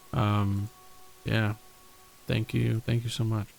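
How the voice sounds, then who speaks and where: Man with an American accent. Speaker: streamer and setting creator. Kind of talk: casual livestream chat. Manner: casual, halting with many fillers.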